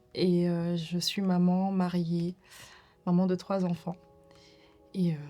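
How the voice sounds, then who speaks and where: With music in the background, a woman speaks very slowly at a fairly low pitch. Her intonation is monotone and flat, with long, frequent pauses. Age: 30s. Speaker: domestic violence survivor. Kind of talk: testimony. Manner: hesitant, many fillers.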